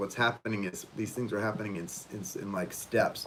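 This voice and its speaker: A man speaks with a fairly low pitch and fairly even intonation. Noticeable background noise runs behind him. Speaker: tarot reader. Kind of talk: live stream tarot reading. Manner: hesitant, many fillers.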